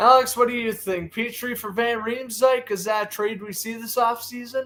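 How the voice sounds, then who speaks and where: Here a man speaks with an American accent. His pitch is high and his pace moderate. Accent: Boston accent, slips sometimes. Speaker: sports podcast host. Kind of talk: live play-by-play commentary. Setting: live stream on camera.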